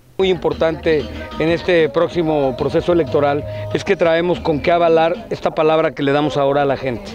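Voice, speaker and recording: Clear music sits in the background of a dry recording with no echo. A man talks at a fairly quick pace with very even loudness and ordinary pitch variation. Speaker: candidate. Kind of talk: interview answer. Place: open country. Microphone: handheld.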